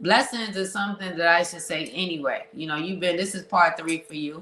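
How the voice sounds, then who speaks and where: A woman talks at medium pitch with a New York accent. Background noise is noticeable. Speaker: podcast host. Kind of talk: casual interview chat. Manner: animated.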